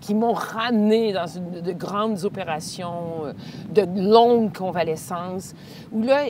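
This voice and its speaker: A woman at medium pitch in a Quebec accent, very slow, with ordinary pitch variation and big swings in loudness, plus audible room echo and noticeable background noise. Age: 60s. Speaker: speaker and cancer survivor. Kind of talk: casual interview. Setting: outdoors on a walk.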